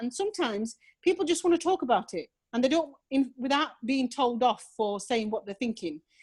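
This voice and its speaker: A woman with a Yorkshire accent, high-pitched, with lively intonation and a fairly quick pace. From northern England, Rotherham, South Yorkshire. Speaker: charity worker and volunteer chaplain. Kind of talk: casual chat.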